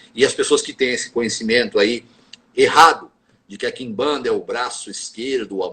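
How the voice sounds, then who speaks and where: This is a man talking. His pace is moderate. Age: 50s. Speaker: Quimbanda practitioner and spiritual teacher. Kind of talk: interview on a live stream. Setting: live video stream.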